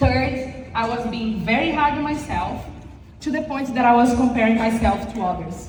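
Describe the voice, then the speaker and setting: Audible room echo and noticeable background noise accompany speech at a moderate pace with ordinary pitch variation. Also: woman, high pitch for a woman. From Brazil. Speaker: insurance sales agent. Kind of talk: motivational speech. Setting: stage with audience. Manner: halting.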